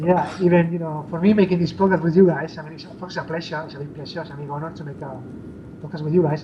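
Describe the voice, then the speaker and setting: Talking at a very fast pace in a monotone, flat way, a man with a fairly high pitch swings widely in loudness, with audible room echo and noticeable background noise. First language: not English. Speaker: indie game developer. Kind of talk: interview. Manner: halting, many fillers.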